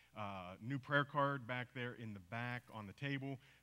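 A man talks in an American accent, his pitch rising and falling in a normal way. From US, teen years in Papua New Guinea. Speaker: missionary; speaker. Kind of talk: church mission report talk. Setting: church service with congregation. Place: church.

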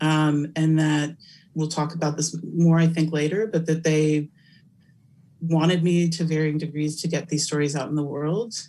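With an American accent, a woman speaks at a moderate pace in a very deep, low pitch, her dark, mellow tone carrying monotone, flat intonation. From California. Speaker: academic researcher and keynote speaker; keynote speaker. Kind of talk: Q&A interview after keynote lecture. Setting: virtual conference. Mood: thoughtful, earnest. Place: home room. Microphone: webcam.

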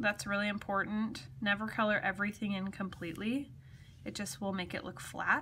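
A woman at a fairly quick pace over light background noise. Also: ordinary pitch variation. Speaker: craft demonstrator. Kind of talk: tutorial. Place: home room. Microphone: phone near.

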